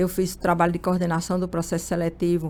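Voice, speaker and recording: A woman's fairly low voice with a Pernambuco accent. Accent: Araripina, Pernambuco backlands. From Brazil, Pernambuco backlands (Araripina). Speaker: human resources manager. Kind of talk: interview.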